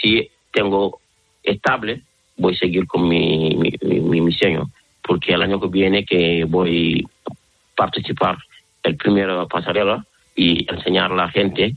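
Speaking with a non-native accent, a man has a very deep, low pitch. He moves at a fairly slow pace with long, frequent pauses. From Senegal. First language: not Spanish (speaking Spanish). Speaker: fashion designer. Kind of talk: interview. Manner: halting.

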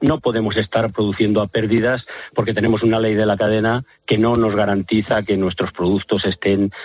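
With a normal speaking voice, a man talks at a fairly quick pace in a fairly low pitch. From Spain, Valladolid. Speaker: farmers' union representative. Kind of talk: phone interview.

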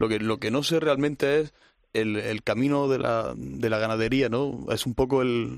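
A plain, everyday voice from a man, medium in pitch, at a moderate pace with fairly even intonation. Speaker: bullfighting analyst. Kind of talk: casual chat.

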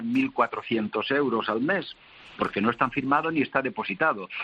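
A man's fairly high voice at a fairly slow pace, with lively intonation and noticeable background noise. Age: old. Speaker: handball federation official. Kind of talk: radio panel discussion.

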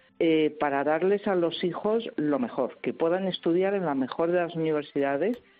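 The speaker moves at a moderate pace with lively intonation. Music plays in the background. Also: woman. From Madrid, Spain. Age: 60s. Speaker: translator and writer. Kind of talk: radio interview.

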